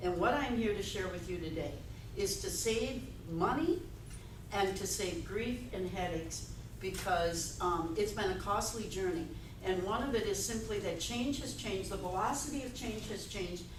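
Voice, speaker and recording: A woman with an American accent speaks at a moderate pace and medium pitch, with ordinary pitch variation, audible room echo and noticeable background noise. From Wisconsin. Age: 70s. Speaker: motivational speaker. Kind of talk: keynote speech. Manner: animated.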